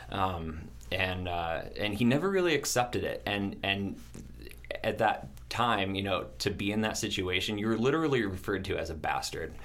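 With lively intonation and audible room echo, a man speaks at a moderate pace in a fairly low voice. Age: 30s. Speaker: bakery or restaurant owner. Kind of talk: casual chat. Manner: halting.

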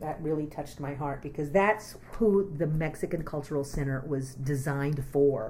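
With an American accent and a very deep, low pitch, a woman speaks in a space with audible room echo and noticeable background noise. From Texas, Austin area. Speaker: community arts organizer. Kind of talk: oral history interview.

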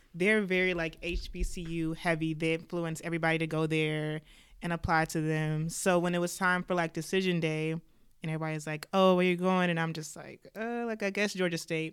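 With an American accent and a fairly low pitch, a woman speaks at a fairly quick pace in a flat, monotone delivery with hardly any pauses, on a very clean recording with a silent background. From US (Chicago and Atlanta). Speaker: undergraduate student. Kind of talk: casual chat.

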